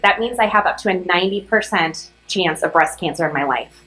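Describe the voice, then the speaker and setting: A woman races along at a very fast pace, her medium pitch showing ordinary variation. Noticeable background noise can be heard throughout. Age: 30s. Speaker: commencement speaker. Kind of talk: commencement speech.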